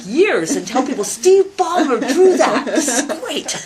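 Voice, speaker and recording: A woman's high pitch swings very widely, with noticeable background noise in the recording. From Canada, Edmonton, Alberta. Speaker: university president and computer scientist. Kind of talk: interview. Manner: animated.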